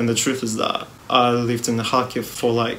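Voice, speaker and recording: The speech moves at a moderate pace, with audible room echo and noticeable background noise. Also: man. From Russia. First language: Russian. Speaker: music youtuber. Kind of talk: personal video statement.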